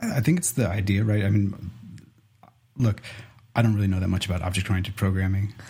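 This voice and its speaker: Fairly low-pitched and somewhat breathy, a man with a dark, mellow tone talks at a very fast pace with fairly even intonation and long, frequent pauses. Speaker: podcast co-host, software developer. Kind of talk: casual chat.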